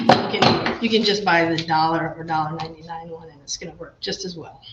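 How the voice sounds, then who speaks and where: Noticeable background noise sits behind a woman with a fairly low pitch and a fairly quick pace. Her intonation is fairly even, though her loudness swings widely. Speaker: home repair instructor. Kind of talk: virtual workshop tutorial. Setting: video livestream workshop.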